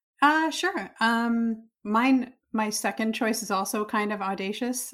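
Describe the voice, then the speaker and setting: In a very clean recording with a silent background, a woman with a normal speaking voice talks at a fairly high pitch with ordinary pitch variation. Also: hardly any pauses. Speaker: podcast co-host.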